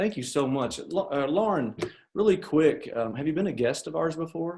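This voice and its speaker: Here a man speaks with a Southern US accent. His pitch is fairly high and his intonation lively. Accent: Southern US drawl. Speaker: role-playing auto shop service advisor. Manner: polite, friendly.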